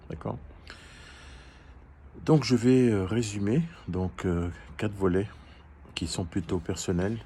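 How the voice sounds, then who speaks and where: Somewhat breathy, a man speaks in a dark, mellow tone at a fairly low pitch. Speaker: life coach. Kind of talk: educational talk. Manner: halting, hesitant.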